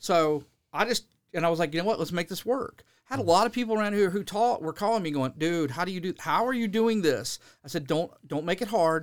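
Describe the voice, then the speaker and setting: The man talks at a high pitch and a fairly quick pace with lively intonation. The recording is very clean, with a silent background. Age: 50s. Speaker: musician and music teacher. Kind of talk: casual chat. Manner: animated.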